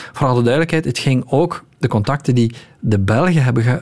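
A man speaks in a plain, everyday voice at a medium pitch. His pace is fairly quick. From Belgium. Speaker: news journalist. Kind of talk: radio interview.

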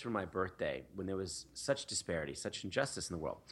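An unremarkable speaking voice from a man with an American accent, fairly quick and lively in intonation, in a very clean recording with a silent background. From US Northeast, Philadelphia. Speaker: nonprofit founder. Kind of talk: interview.

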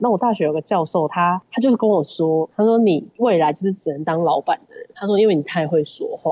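Over noticeable background noise, a woman with a fairly low pitch talks at a fairly quick pace with hardly any pauses and ordinary pitch variation, in a dry, close sound with no echo. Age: young. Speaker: film producer and company founder. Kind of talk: casual interview.

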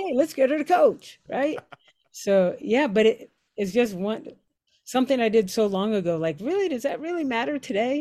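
A woman with an American accent speaks at a moderate pace, her tone dark and mellow. Her high pitch swings very widely. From Pittsburgh, Pennsylvania. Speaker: high school English teacher and softball coach. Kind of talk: casual chat.

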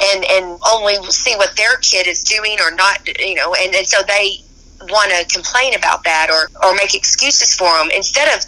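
A woman at a medium pitch and moderate pace, with ordinary pitch variation and noticeable background noise. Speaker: college basketball coach. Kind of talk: interview. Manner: energetic.

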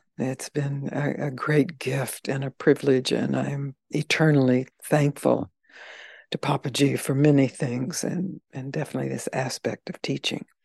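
A woman's very deep, low voice with vocal fry and an American accent, fairly even in intonation at a moderate pace, dry and close with no echo. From US South, Mississippi. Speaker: spiritual teacher.

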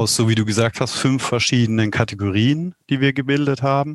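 Heard dry and close with no echo, a man with a plain, everyday voice talks at a medium pitch with fairly even intonation. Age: 40s. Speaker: company executive. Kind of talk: interview.

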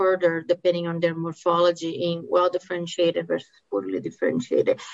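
A woman speaks with a Brazilian Portuguese accent in a fairly low voice. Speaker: medical oncologist. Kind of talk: expert interview.

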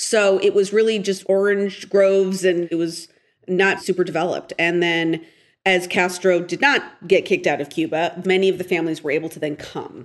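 Over a quiet background, a woman with an American accent talks at a moderate pace and medium pitch with ordinary pitch variation, in an unremarkable speaking voice. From US West Coast, Portland, Oregon. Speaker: TV writer and director. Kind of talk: interview.

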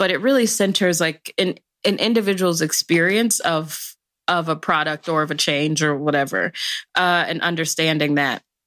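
A woman with an American accent has an unremarkable speaking voice, a fairly low pitch with ordinary pitch variation, very even loudness, and a moderate pace, all in a very clean recording with a silent background. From South Side of Chicago. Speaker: policy expert. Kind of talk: casual interview.

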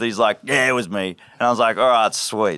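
Dry and close with no echo, a man with an Australian accent talks at a fairly quick pace in a bright, sharp tone. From north of Cairns, Queensland, Australia. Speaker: sailing charter first mate. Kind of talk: casual interview with storytelling. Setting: on an anchored sailboat, live in front of crew.

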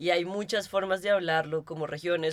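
A woman with a fairly low pitch talks at a moderate pace in a flat, monotone intonation. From Colombia. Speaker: podcast co-host. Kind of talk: casual chat. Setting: office studio.

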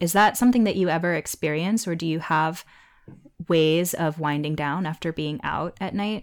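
A woman with an unremarkable speaking voice talks at a moderate pace and a fairly low pitch. Her pitch varies in an ordinary way. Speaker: podcast host and essayist. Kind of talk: casual chat.

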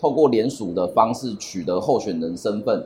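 Lively intonation runs through a man's somewhat breathy voice. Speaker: human rights lawyer. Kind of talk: interview.

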